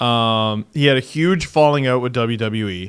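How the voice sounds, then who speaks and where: A man speaks at a fairly slow pace with a Canadian accent, in a plain, everyday voice. His pitch is medium, with ordinary pitch variation. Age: 30s. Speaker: podcast host. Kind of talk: casual chat.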